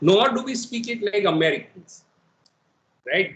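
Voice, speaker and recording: A man with an Indian accent talks at a moderate pace with lively intonation. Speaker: professor. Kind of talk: lecture. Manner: code-switching English and Hindi.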